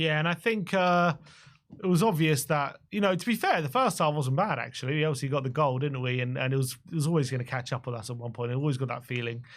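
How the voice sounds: A man with a fairly high pitch talks at a fast pace. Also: ordinary pitch variation.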